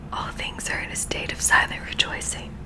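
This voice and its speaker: A woman whispers in a calm tone at a moderate pace. Background noise is noticeable. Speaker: ASMR creator. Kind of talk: ASMR spiritual book reading. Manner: soft, calm, whispery.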